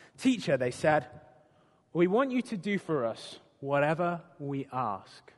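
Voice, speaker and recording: A man with a British accent speaks at a fairly slow pace. His fairly high pitch rises and falls in very wide swings. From Britain. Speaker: preacher. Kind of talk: sermon.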